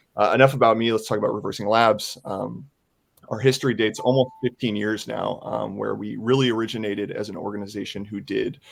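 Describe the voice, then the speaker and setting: Very fast speech with vocal fry and fairly even intonation comes in an American accent. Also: man, fairly low pitch for a man. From United States. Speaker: software security product manager. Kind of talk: panel discussion webinar.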